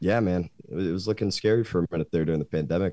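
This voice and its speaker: A man speaks at a very fast pace in an American accent, with a dark, mellow tone. His pitch varies in an ordinary way, and the sound is dry and close with no echo. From Michigan, Grand Rapids. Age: 20s. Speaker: metalcore band vocalist. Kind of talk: casual interview.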